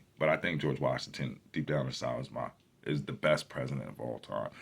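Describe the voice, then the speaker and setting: Animated tone with vocal fry at a fairly quick pace. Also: man. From New Jersey. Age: 40s. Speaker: YouTuber. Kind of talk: casual vlog monologue. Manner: animated, profane.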